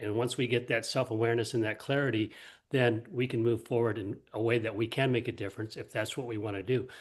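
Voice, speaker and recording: A man speaking fairly quickly in a monotone, flat intonation, against a quiet background. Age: 70s. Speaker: group participant. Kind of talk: group discussion.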